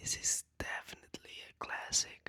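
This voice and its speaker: A man is whispering. The sound is dry and close, with no echo. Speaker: ASMR creator. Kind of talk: boyfriend roleplay whisper ramble for relaxation. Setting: close-mic recording. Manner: whispered, soft, casual.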